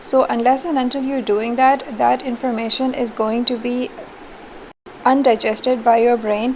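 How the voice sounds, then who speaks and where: Monotone, flat speech at a moderate pace amid noticeable background noise. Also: woman, high pitch for a woman. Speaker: university teacher. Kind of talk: recorded online lecture feedback. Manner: low energy.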